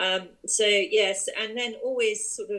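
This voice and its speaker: A woman with an English accent. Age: 60s. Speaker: yarn shop owner and online craft community creator. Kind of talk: interview. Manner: hesitant, many fillers.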